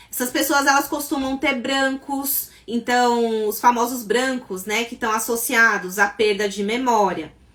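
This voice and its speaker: Ordinary pitch movement at a fairly slow tempo, with noticeable noise in the background. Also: woman, high pitch for a woman, hardly any pauses. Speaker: psychologist and sleep therapist. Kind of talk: live stream talk. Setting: live stream.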